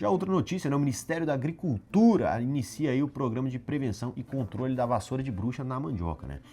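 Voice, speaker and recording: A man's dark, mellow, somewhat breathy voice at a very fast pace, lively in intonation, with hardly any pauses. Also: medium pitch for a man. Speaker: agribusiness news show host. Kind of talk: casual news commentary. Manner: informal, chatty.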